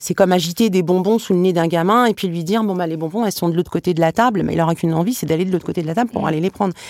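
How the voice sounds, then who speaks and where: A woman's fairly low voice at a very fast pace, with hardly any pauses. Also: ordinary pitch variation. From France, Tunisian family. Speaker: comic book author and illustrator. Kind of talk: casual chat. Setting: studio.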